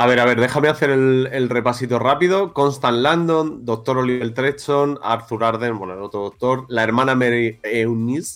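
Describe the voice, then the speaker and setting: A man in an ordinary speaking voice, medium pitch, ordinary pitch variation, moderate pace and hardly any pauses. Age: 40s. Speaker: podcast host. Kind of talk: casual chat. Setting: studio.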